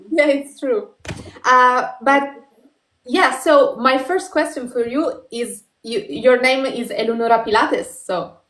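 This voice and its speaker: The speaker has an Italian accent. The intonation is lively. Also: woman, high pitch for a woman, fairly slow pace. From northern Italy, Turin. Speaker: podcast host. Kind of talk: interview. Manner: halting.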